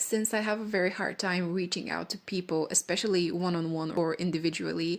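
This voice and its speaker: Someone with a non-native accent talks at a fairly quick pace. The intonation stays fairly even. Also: woman, fairly low pitch for a woman. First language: not English. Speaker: vlogger. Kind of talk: casual monologue. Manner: rambling, halting.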